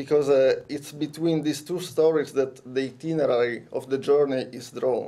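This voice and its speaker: With an Italian accent and a dark, mellow tone, this voice moves at a moderate pace with hardly any pauses and fairly even intonation. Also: man, fairly high pitch for a man. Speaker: conference speaker. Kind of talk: lecture. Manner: halting.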